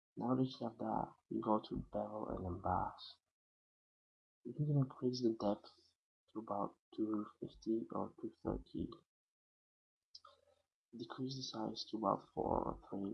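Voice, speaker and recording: The speaker has a non-native accent and a fairly slow pace. Long, frequent pauses break up the speech. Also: man. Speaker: software tutorial maker. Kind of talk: screen-recorded software tutorial. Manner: hesitant, casual.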